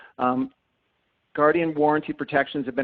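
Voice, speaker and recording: A man speaks at a very fast pace. His intonation stays monotone and flat. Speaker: warranty sales representative. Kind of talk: sales presentation. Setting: webinar.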